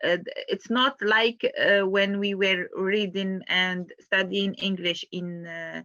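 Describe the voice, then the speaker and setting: A woman speaks very slowly at a medium pitch. Her intonation stays fairly even. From Algeria. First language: not English (English is third language). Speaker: student and mother of five-person household. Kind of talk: interview. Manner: halting, many fillers and repetitions.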